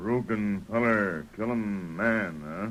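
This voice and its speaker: Using a put-on character voice, a man drawls at a very slow pace and a fairly low pitch. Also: ordinary pitch variation. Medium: old radio play. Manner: terse, clipped.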